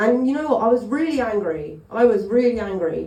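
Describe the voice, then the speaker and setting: With audible room echo, a woman in a Cockney accent speaks at a moderate pace with ordinary pitch variation. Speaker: stand-up comedian. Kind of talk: stand-up. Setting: stage with audience.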